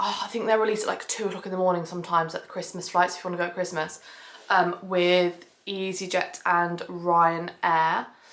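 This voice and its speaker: In a southern English accent, a woman speaks at a medium pitch. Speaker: family travel vlogger. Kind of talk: casual vlog tutorial. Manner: fast; chatty, many fillers.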